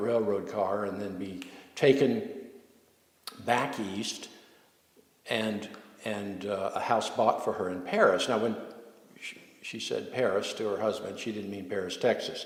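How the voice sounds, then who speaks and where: A fairly low-pitched man with an American accent at a moderate pace, fairly even intonation and long, frequent pauses, amid noticeable background noise and audible room echo. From US South, New Orleans. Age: 70s. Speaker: local historian. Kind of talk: storytelling interview. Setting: inside a historic mansion. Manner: halting, many fillers.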